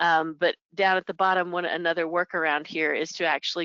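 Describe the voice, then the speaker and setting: Her voice fairly low-pitched, a woman talks at a fairly quick pace with monotone, flat intonation. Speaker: payroll software consultant. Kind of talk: webinar presentation. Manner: fast.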